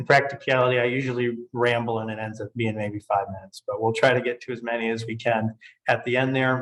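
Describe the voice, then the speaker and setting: Here a man talks very fast at a medium pitch. His delivery is monotone and flat. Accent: American. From Michigan, Grand Rapids. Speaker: tax and estate lawyer. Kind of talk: webinar presentation. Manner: casual with fillers.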